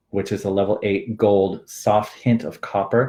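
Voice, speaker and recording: The voice is somewhat breathy, with flat, monotone intonation. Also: man. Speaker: hair color technical coach. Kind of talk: online training webinar. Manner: fast.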